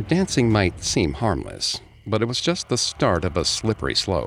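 Speaking at a fairly slow pace, a man uses vocal fry. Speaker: podcast host narrator. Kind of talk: scripted true-crime horror narration, told as a dramatized ghost story. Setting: studio. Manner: dramatic, measured storyteller delivery.

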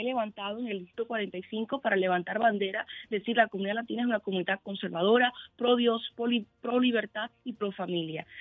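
A plain, everyday voice at a fairly quick pace with ordinary pitch variation. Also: woman. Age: 20s. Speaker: political candidate. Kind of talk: interview.

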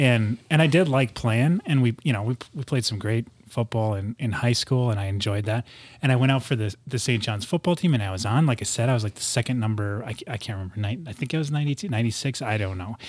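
Speaking at a very fast pace, a man with a somewhat breathy, medium-pitched voice and ordinary pitch variation is heard in a very clean recording with a silent background. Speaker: former FBI agent and small business owner. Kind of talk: casual chat. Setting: studio.

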